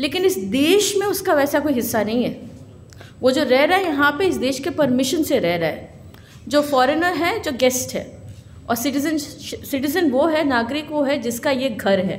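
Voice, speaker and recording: A woman with a Bengali accent speaks at a moderate pace in a high pitch with lively intonation, and the room echo is audible. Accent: Bengali accent in Hindi. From Kolkata, West Bengal, India. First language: Bengali (speaking Hindi). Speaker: lawyer and speaker on citizenship law. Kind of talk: public speech at a symposium.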